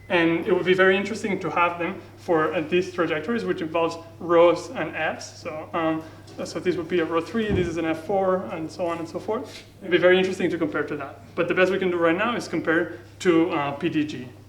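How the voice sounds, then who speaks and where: A high-pitched man at a fairly quick pace with ordinary pitch variation, with audible room echo and noticeable background noise. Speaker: physicist. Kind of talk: lecture. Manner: fast.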